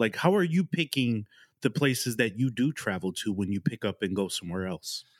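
Over a silent background in a very clean recording, a man talks at a fairly quick pace with a medium pitch. His pitch swings very widely, and the sound is dry and close with no echo. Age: 40s. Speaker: podcast host. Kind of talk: podcast interview.

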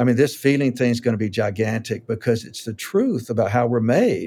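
Man with a dark, mellow tone, fairly quick pace and ordinary pitch variation. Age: 60s. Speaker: author and counselor. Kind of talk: casual interview conversation.

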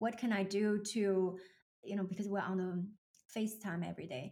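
A woman with a Chinese accent, somewhat breathy, at a moderate pace with fairly even intonation. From China. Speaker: leadership coach. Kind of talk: casual interview chat.

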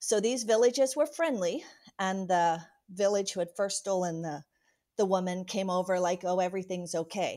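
A woman with a dark, mellow tone and medium pitch talks at a moderate pace. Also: very clean recording, silent background. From Venezuela, Amazon jungle (missionary kid). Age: 50s. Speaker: missionary. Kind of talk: testimony.

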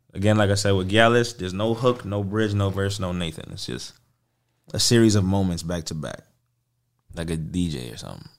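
A fairly low-pitched man in an American accent, at a fairly quick pace with ordinary pitch variation and big swings in loudness, on a very clean recording with a silent background. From New York, the Bronx. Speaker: singer-songwriter and producer. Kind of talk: casual interview chat. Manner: animated.

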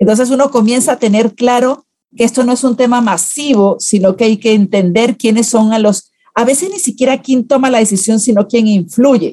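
This woman has a plain, everyday voice, fairly high in pitch with ordinary variation, and she speaks at a moderate pace. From Venezuela. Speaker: public relations consultant. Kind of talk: interview.

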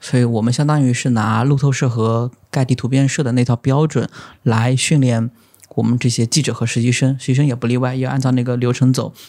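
A man's medium-pitched voice, monotone and flat in intonation and fairly quick in pace, in a very clean recording with a silent background. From China, Zhejiang (Lishui). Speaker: photographer. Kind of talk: casual interview chat.

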